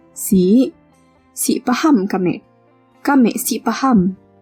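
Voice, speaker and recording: Against music in the background, a woman talks at a very slow pace with lively intonation. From Sarawak, Malaysia. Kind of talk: language sample reading.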